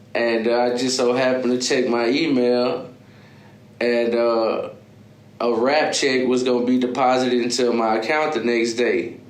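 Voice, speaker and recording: A man with an American accent, monotone and flat, at very even loudness, with audible room echo and noticeable background noise. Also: medium pitch for a man, moderate pace. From Texas, Beaumont. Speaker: rapper. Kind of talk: interview. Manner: halting, many fillers.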